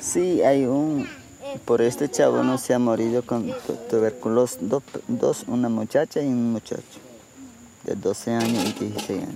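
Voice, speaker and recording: Over noticeable background noise, a man talks at a moderate pace, leaving long, frequent pauses. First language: Yanomami (speaking German). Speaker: village chief. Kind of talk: interview. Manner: halting.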